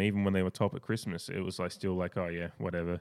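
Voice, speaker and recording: A man talks at a very fast pace. He speaks with an Australian accent. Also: very clean recording, silent background. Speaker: sports podcast host. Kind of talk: casual chat.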